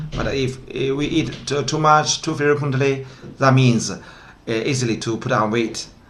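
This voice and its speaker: A man with a medium-pitched voice speaks at a fairly slow pace with ordinary pitch variation, and the room echo is audible. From northwest China, Gansu province. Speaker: translation company founder and interpreter. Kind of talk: casual discussion. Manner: halting, many fillers.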